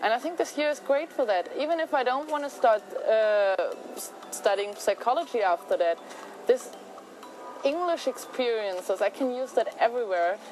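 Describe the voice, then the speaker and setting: Very wide pitch swings with a German accent, a moderate pace and noticeable background noise. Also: woman, high pitch for a woman. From Germany. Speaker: au pair. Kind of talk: testimonial interview.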